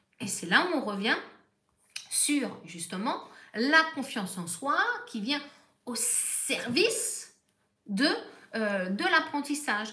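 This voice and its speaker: With a high, bright, sharp voice, a woman speaks very slowly in a raised, projected way, her pitch swinging very widely and her loudness rising and falling a lot, with long, frequent pauses and audible room echo. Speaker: therapist. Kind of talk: live stream talk.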